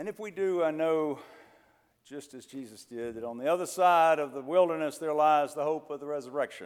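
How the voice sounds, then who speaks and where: A man with an ordinary speaking voice and an American accent talks at a fairly quick pace, with ordinary pitch variation and big swings in loudness, on a very clean recording with a silent background. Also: fairly high pitch for a man. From US South (Mississippi). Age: 50s. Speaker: preacher. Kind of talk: sermon. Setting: church.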